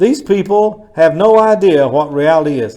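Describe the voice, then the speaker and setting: Amid audible room echo, a man with a high pitch and a dark, mellow tone makes very wide pitch swings. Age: 60s. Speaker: pastor. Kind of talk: sermon. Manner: conversational.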